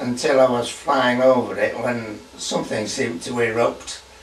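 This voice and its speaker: Amid noticeable background noise and audible room echo, a man speaks at a medium pitch and a fairly slow pace. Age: 80s+. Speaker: war veteran. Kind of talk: testimony. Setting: at home. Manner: halting.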